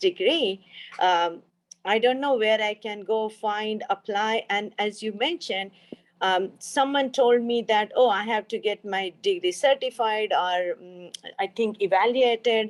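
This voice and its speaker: Speaking at a fairly slow pace, a woman with an Indian accent has a fairly high pitch and ordinary pitch variation. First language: an Indian language. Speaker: pharmaceutical research scientist. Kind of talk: panel discussion. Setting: video call. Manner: hesitant, many fillers.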